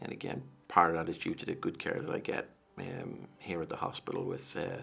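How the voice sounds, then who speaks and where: Here a man speaks with an American accent at a fairly quick pace. There is noticeable background noise. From Dublin, Ireland. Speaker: liver transplant patient. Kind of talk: interview answer.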